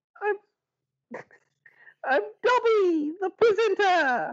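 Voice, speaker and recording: A woman's put-on character voice, extremely high in pitch. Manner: excited, gleeful.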